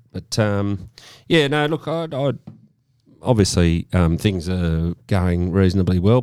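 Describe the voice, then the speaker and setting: Over music in the background, a man with an Australian accent speaks at a moderate pace in a fairly low pitch. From Sydney, eastern suburbs. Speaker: podcast host. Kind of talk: casual chat.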